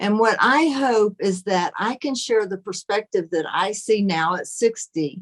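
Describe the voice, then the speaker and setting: A woman with a normal speaking voice and medium pitch talks fairly slowly with lively intonation, in a dry, close sound with no echo. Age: 60s. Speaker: author. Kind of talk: casual chat.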